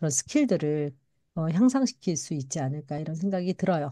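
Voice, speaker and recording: Against a quiet background, a woman with a dark, mellow tone swings very widely in pitch. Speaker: network marketing speech coach. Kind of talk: lecture-style talk. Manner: fast.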